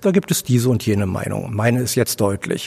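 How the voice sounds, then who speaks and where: A man speaks at a fairly quick pace. He has a plain, everyday voice at a medium pitch. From Berlin (Charlottenburg-Wilmersdorf area). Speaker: author and director. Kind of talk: interview. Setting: theatre foyer.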